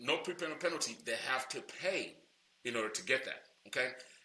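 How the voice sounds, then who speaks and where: A man speaks with lively intonation at a fairly quick pace. Room echo is audible. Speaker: loan broker trainer. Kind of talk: tutorial. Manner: fast; casual, many fillers.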